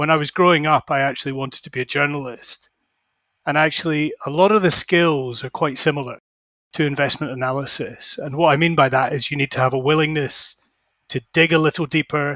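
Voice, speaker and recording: Bright and sharp in tone, a man with a Scottish accent speaks fairly high in pitch at a fairly quick pace with fairly even intonation, in a dry, close sound with no echo on a very clean recording with a silent background. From Scotland. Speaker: fund manager. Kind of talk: interview.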